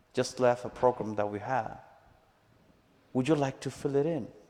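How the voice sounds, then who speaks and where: With a Mexican accent, a man speaks at a moderate pace and medium pitch, his intonation fairly even. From Mexico, Chihuahua. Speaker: missionary. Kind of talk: testimony. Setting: church service with live audience.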